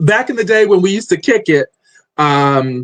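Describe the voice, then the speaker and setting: Loud and high in pitch, a man speaks. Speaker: podcast host. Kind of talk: interview. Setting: live stream.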